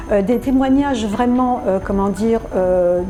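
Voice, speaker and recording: Music plays in the background as a woman speaks. Her pitch is fairly high, with ordinary pitch variation. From France. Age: 60s. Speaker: dental patient giving testimonial. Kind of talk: testimonial interview. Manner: halting, many hesitations.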